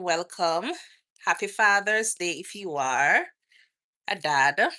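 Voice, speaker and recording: A woman's bright, sharp voice with a Jamaican accent, at a very slow pace against a quiet background. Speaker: nurse and lifestyle vlogger. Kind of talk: live stream Q&A chat. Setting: outdoors.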